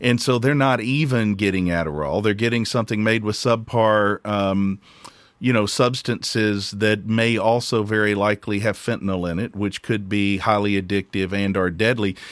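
Fairly low in pitch, a man with an unremarkable speaking voice talks at a moderate pace. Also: fairly even intonation. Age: 50s. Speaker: podcast host and recovering stimulant addict. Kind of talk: casual interview conversation.

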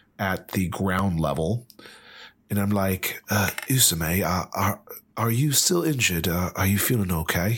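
Speaking at a fairly slow pace, a man uses an ordinary speaking voice with fairly low pitch. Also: ordinary pitch variation, very even loudness. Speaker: player in a tabletop roleplaying game.

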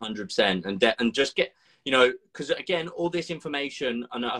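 A man speaks at a very fast pace. His medium-pitched voice has a bright, sharp tone. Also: dry, close sound with no echo. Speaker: fitness coach and podcast co-host. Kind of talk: live-streamed webinar chat. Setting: live stream via phone.

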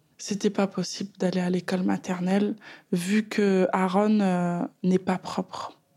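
Very slow and monotone, a woman at a medium pitch speaks in a dark, mellow tone that is somewhat breathy. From Paris suburbs, France. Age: 30s. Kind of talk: personal testimony. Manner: hesitant, many fillers.

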